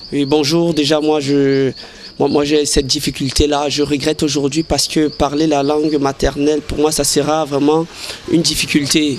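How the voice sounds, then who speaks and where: Noticeable background noise sits behind a man's fairly high-pitched voice. He speaks at a moderate pace with monotone, flat intonation. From Cameroon, Ocean region. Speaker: interviewee. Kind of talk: vox pop interview. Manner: halting, repeats words.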